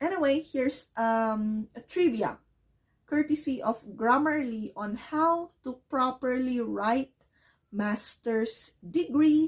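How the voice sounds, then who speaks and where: Very slowly, a woman speaks at a high pitch with lively intonation. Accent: Filipino. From Philippines. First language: Filipino language. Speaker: ESL teacher. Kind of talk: English lesson to camera.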